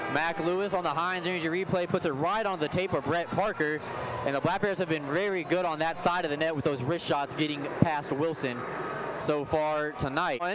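A dry sound with no echo, plus noticeable background noise. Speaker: play-by-play hockey commentator. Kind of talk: live sports commentary. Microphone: headset.

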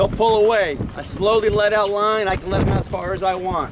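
A man talks at a fairly quick pace in a high pitch with fairly even intonation. Clear background noise can be heard.

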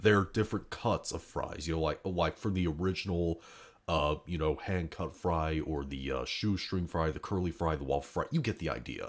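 With ordinary pitch variation and vocal fry, a man speaks in a very deep, low voice. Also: moderate pace. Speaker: youtuber. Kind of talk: casual monologue. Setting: indoors at home, others sleeping. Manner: quiet, subdued; hesitant, many fillers. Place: home room.

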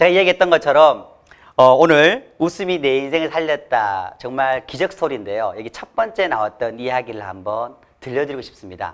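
A man's animated, medium-pitched voice with lively intonation, a fairly quick pace and a quiet background. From South Korea. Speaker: laughter therapist; laughter coach, lecturer. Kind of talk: motivational talk. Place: studio. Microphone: lapel.

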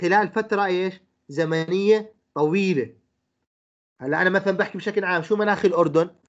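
A man's high-pitched, fairly bright voice at a fairly quick pace, with ordinary pitch variation

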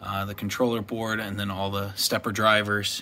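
Light background noise runs under a man's fairly low voice. He talks at a moderate pace. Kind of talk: casual shop tour explanation. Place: workshop. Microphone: phone near.

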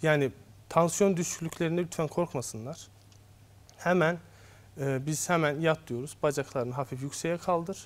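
A man with a fairly high voice talks at a moderate pace, using ordinary pitch variation and long, frequent pauses. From Azerbaijan, Baku; Azerbaijan. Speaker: obstetrician-gynecologist; guest. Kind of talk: TV health interview. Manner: hesitant, frequent fillers. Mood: calm, explanatory. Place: studio. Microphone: lapel.

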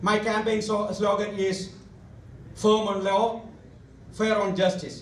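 A man with a high-pitched voice speaks at a fairly slow pace, with audible room echo and light background noise. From India. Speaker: lawyer and judicial candidate; lawyer, candidate. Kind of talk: campaign speech. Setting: hall with audience. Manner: reading prepared speech. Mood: formal, earnest. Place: hall.

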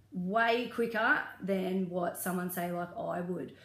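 Room echo is audible around this woman. Her pitch shifts in a normal way. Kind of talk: casual advice talk to camera. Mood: earnest, caring. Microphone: phone near.

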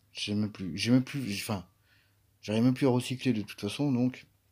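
On a very clean recording with a silent background, a man speaks at a medium pitch in a dark, mellow tone with ordinary pitch variation. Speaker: gaming YouTuber. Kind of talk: gameplay commentary. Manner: casual, hesitant with fillers.

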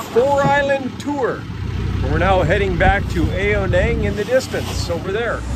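The speech moves at a fairly slow pace. Loud background noise is present. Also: man, dry sound with no echo. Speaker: travel vlogger. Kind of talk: casual vlog chat. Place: boat. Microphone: phone near.

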